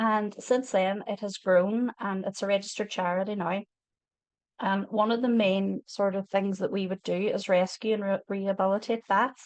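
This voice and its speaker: The woman's medium-pitched voice stays in a monotone, flat intonation at a moderate pace, with a dry, close sound and no echo. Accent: Northern Irish. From Northern Ireland, Derry. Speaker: wildlife charity volunteer speaker. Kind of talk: online educational talk. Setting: online video talk. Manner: casual, filler-heavy.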